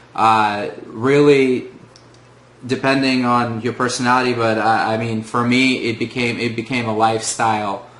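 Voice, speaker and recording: Spoken at a moderate pace in a flat monotone, with audible room echo. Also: man, medium pitch for a man. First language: Russian. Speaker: former test-prep student. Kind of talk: testimonial. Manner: hesitant, many filler words.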